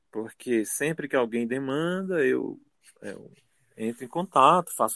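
Speaking at a very slow pace, a man with a medium pitch and a bright, sharp tone uses lively intonation, the sound dry and close with no echo. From Brazil, Ceará (Cascavel). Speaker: ceramics teacher. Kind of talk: interview. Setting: radio studio. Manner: halting.

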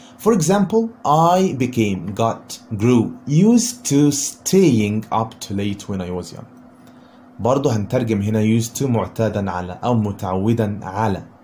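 A man's dark, mellow, somewhat breathy voice with lively intonation and audible room echo. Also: medium pitch for a man, fairly slow pace. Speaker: English teacher. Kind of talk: lecture.

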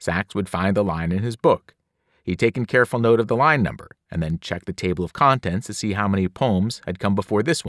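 A natural reading voice with ordinary pitch variation plays over a quiet background.

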